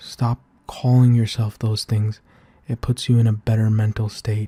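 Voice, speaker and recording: A man speaks in a gentle, soft-spoken, somewhat breathy voice at a fairly slow pace, his tone dark and mellow. His intonation stays monotone and flat, and the sound is dry and close with no echo. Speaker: ASMR roleplay creator playing a supportive big brother. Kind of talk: ASMR comforting roleplay, soft-spoken supportive talk to the listener. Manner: soft-spoken, caring, gentle.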